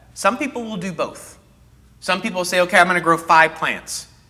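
With a Texan accent, a man speaks at a moderate pace, with a high pitch, a bright, sharp tone, and lively intonation. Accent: Texan American English. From North Texas. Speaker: horticulturist giving a gardening class; presenter. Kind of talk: lecture. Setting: classroom with live audience, on a mic. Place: hall. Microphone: lapel.

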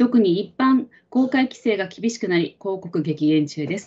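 A somewhat breathy woman at a moderate pace. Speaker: livestream host. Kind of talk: live talk show moderating. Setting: live stream studio. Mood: polite, calm. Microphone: video call.

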